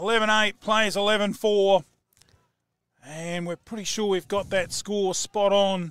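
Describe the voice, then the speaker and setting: Bright and sharp in tone, a man's high voice is raised and projected, with fairly even intonation. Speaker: football commentator. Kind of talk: live sports commentary. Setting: commentary box.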